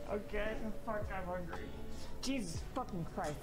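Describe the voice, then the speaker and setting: Clear music can be heard behind the speaker. A woman talks at a moderate pace. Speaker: live streamer. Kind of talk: casual stream chat. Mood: exasperated, hungry, complaining.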